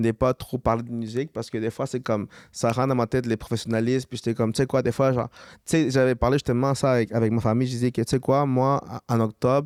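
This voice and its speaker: The speaker talks very fast in a Quebec accent, with monotone, flat intonation. The sound is dry and close with no echo, in a very clean recording with a silent background. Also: man, medium pitch for a man. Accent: Quebec street French. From Montreal, Quebec. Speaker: musician. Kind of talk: casual chat.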